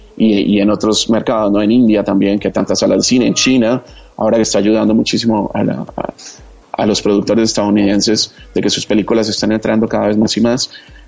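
A man's fairly low voice at a very fast pace, monotone and flat, with very even loudness and noticeable background noise. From Colombia, Bogotá. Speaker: TV entertainment journalist. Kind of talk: casual interview chat.

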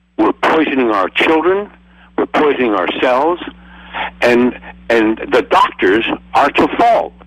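Speaking at a fairly slow pace with very even loudness, a man leaves long, frequent pauses over noticeable background noise. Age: 80s+. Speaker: alternative health advocate and film producer. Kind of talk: panel discussion. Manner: passionate, forceful.

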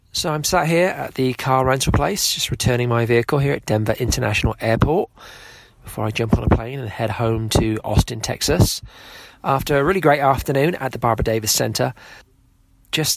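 Over noticeable background noise, a man with an English accent and medium pitch talks at a fairly quick pace. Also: ordinary pitch variation. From England. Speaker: podcast host, father of diabetic child. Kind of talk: interview.

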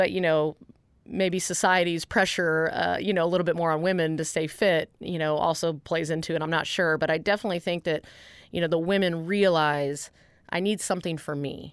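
A woman with an American accent speaks in a plain, everyday voice, fairly low in pitch, with fairly even intonation at a moderate pace. The recording is very clean with a silent background. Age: 30s. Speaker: fitness entrepreneur. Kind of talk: interview.

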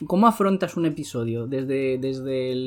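A fairly slow pace with music in the background. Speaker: podcast host. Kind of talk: casual interview chat.

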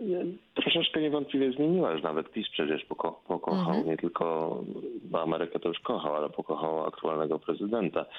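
A man at a fairly quick pace. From Poland. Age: 50s. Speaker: professor, Americanist. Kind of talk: radio interview.

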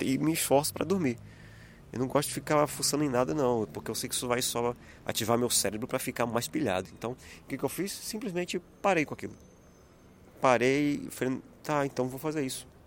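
Moving at a fairly quick pace, a man speaks at medium pitch with ordinary pitch variation. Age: 30s. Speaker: podcast host, worship minister and illustrator. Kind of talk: solo inspirational monologue. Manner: halting.

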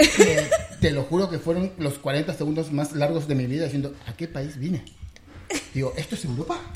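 Over noticeable background noise, a man speaks at a moderate pace with a fairly high pitch and fairly even intonation. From Argentina, Buenos Aires. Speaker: software developer. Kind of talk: casual chat.

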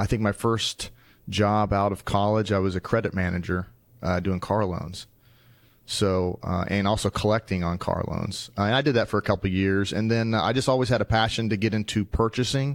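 A man with an American accent uses an ordinary speaking voice at a fairly low pitch. He talks at a moderate pace with fairly even intonation on a very clean recording with a silent background. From Wichita, Kansas. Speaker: metals branch manager. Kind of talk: casual interview. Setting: sales meeting in Nashville.

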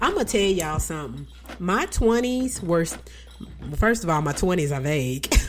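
Against noticeable background noise, a woman with an American accent and a fairly low pitch talks at a moderate pace, her loudness very even and her pitch swinging very widely, with long, frequent pauses. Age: 40s. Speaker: radio host. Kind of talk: radio DJ patter, chatty and casual. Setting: live radio show studio.

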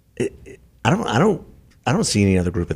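A man's somewhat breathy voice at a very fast pace. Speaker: podcast co-host. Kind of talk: casual political talk show. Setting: studio.

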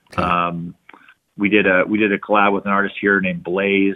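A man's fairly low voice with an American accent. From Arizona. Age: 30s. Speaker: cannabis entrepreneur. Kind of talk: casual interview. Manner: halting, many fillers and repeats.

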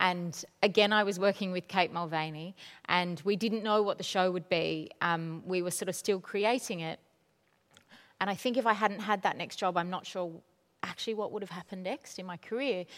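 On a very clean recording with a silent background, a woman with an unremarkable speaking voice talks at a moderate pace and medium pitch, her intonation fairly even. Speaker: theatre artistic director. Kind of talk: onstage interview conversation. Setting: stage with audience. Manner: warm, casual, chatty.

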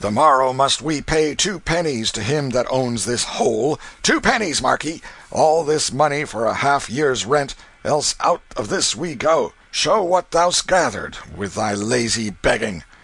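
A man's hoarse, bellowing put-on character voice, fairly high in pitch, with lively intonation at a moderate pace. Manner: roaring, bullying, coarse.

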